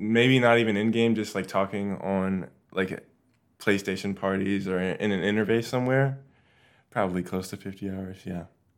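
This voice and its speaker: A man with a plain, everyday voice talks at a fairly low pitch with fairly even intonation. The recording is very clean, with a silent background. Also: moderate pace. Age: 20s. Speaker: college student and gamer. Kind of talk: casual interview.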